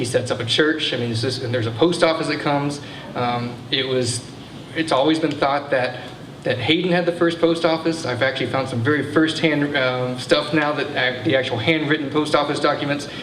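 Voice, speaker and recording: Amid noticeable background noise and audible room echo, a man with an American accent speaks fairly quickly at a fairly high pitch with fairly even intonation. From Texas. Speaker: museum assistant director giving a history talk. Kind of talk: public history talk. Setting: brewery event with live audience. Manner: fast; many fillers and restarts.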